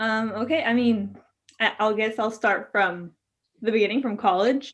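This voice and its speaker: Speaking with a Spanish accent, a woman keeps a moderate pace at a fairly high pitch. Her pitch variation is ordinary, and the background is quiet. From Mexico. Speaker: law school graduate. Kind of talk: interview.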